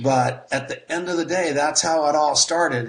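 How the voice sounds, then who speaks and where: Fairly even intonation carries a man's moderate-paced speech through noticeable background noise. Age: 60s. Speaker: network marketer. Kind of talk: interview.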